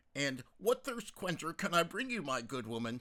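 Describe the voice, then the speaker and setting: Using a put-on character voice, a man speaks raised and projected at a fairly high pitch. His pace is moderate, with very wide pitch swings. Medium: read story. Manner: corny, jovial.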